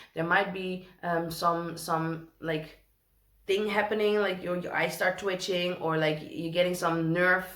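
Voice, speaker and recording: A woman with a Dutch accent speaks at a fairly low pitch and a fairly slow pace, her intonation monotone and flat. Noticeable background noise and audible room echo surround her. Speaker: tarot reader. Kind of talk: tarot reading. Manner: hesitant, many fillers.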